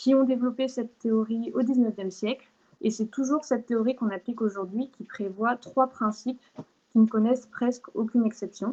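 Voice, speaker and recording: A woman's fairly high voice has a dark, mellow tone, fairly even intonation and a moderate pace. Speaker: law speaker giving a talk. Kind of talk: online lecture with slides. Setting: video call. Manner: hesitant, many fillers.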